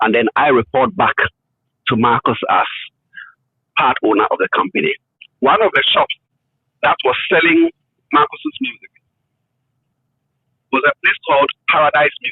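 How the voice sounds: A man's fairly high voice with vocal fry and a slightly husky edge, very wide pitch swings, a moderate pace with long, frequent pauses, and a dry, close sound with no echo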